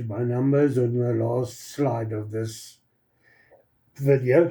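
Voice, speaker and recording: A man speaks at medium pitch with a dark, mellow tone and fairly even intonation. His voice is somewhat breathy. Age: 60s. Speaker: product promoter, channel owner. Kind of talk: promotional testimonial video. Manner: halting, many fillers.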